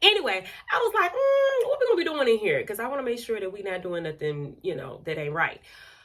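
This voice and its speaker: A woman talks at a very fast pace with big swings in loudness, against noticeable background noise. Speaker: podcaster. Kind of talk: casual monologue podcast. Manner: animated.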